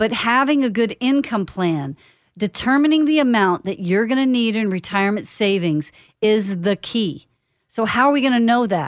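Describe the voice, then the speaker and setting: Lively intonation runs through an ordinary speaking voice at a moderate pace. The recording is very clean, with a silent background. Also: woman, fairly high pitch for a woman. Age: 50s. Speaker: financial planner and radio host. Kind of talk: radio show monologue, educational. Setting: radio studio.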